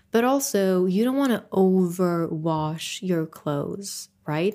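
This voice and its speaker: A woman speaks with a non-native accent at a medium pitch with ordinary pitch variation. The recording is very clean with a silent background. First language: not English. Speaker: solo podcast host. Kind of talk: casual solo monologue.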